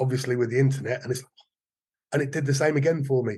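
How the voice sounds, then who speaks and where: A man's very fast, somewhat breathy speech at a fairly high pitch. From Wales, Cardiff and Forest of Dean. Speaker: martial arts teacher. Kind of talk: casual interview chat. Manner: halting, many repetitions.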